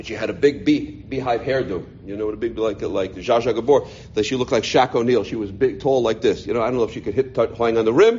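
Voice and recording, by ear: A man at medium pitch, fast and with few pauses, ordinary pitch variation and a slightly mellow tone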